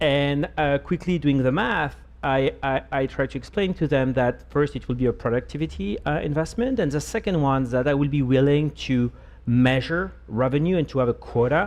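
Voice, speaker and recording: A man with a French accent talks at a fairly quick pace. His voice is medium-pitched with ordinary pitch variation. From France. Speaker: marketing executive. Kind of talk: panel discussion.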